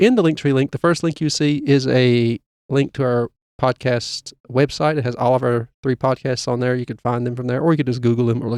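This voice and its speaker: A man with an ordinary speaking voice talks at a fairly quick pace, his medium pitch held in fairly even intonation. The sound is dry and close, with no echo. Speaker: podcast co-host. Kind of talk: podcast outro announcements. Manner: casual, many filler uhs.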